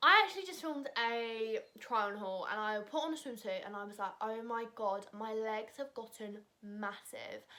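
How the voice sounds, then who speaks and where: With a British accent, a woman speaks at a moderate pace in a fairly high pitch and a bright, sharp tone. Her pitch variation is ordinary and she hardly pauses. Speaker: vlogger. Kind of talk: casual chat. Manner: loud.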